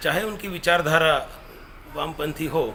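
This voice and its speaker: A fairly high-pitched man amid noticeable background noise and audible room echo. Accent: Marathi. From Maharashtra, India. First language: Marathi (speaking Hindi). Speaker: professor and activist speaker. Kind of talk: commemorative lecture. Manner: halting, with fillers.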